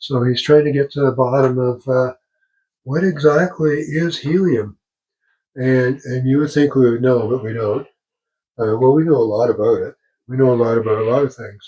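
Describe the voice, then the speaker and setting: A man's voice is somewhat breathy, with a dark, mellow tone. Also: medium pitch for a man, ordinary pitch variation, moderate pace. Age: 80s+. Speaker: amateur physics vlogger. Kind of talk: casual vlog talk. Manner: halting.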